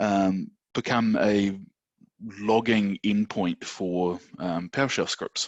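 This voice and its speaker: A man speaks very slowly with a New Zealand accent. His pitch sits fairly low and his intonation stays fairly even. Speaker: systems administrator presenting at user group. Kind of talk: technical presentation. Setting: online video meeting.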